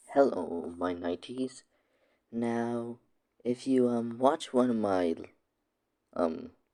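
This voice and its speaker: This quiet voice has a dark, mellow tone and ordinary pitch variation, moving at a very slow pace with long, frequent pauses. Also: man, medium pitch for a man. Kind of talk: casual talk to camera. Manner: quiet, hushed; stammering, hesitant.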